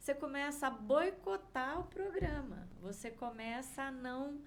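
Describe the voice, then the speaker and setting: Speech at a very slow pace comes through with audible room echo. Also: woman. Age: 60s. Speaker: vibrational therapist. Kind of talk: interview chat.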